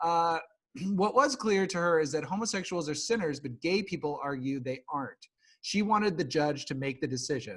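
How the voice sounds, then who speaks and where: A man with an American accent and an ordinary speaking voice, fairly high in pitch, at a moderate pace with lively intonation. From Nebraska. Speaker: podcast host. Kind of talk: casual chat.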